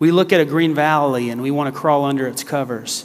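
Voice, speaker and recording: A man with an ordinary speaking voice talks at a moderate pace. His pitch is fairly high, with ordinary variation. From US South, South Carolina. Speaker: guest preacher. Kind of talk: sermon. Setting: church.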